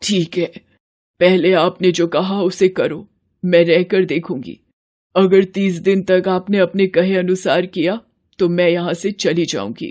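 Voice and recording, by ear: The cartoonish character voice sits at a middle pitch and moves at a moderate pace.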